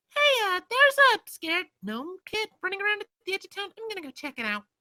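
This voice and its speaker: A man puts on a squeaky character voice, pitched extremely high, and talks at a fairly quick pace. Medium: actual play. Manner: casual, friendly.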